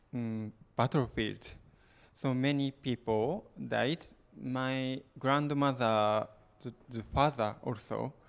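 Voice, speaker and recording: A man's very slow speech with long, frequent pauses and fairly even intonation. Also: medium pitch for a man. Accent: Japanese. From Japan, Okinawa. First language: Japanese. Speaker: musician. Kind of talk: interview answer at concert. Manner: halting.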